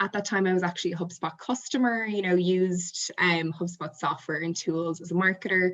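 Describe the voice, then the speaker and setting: In an Irish accent, the speaker talks at a moderate pace with fairly even intonation. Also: woman. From Ireland. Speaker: marketing manager. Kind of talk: webinar presentation.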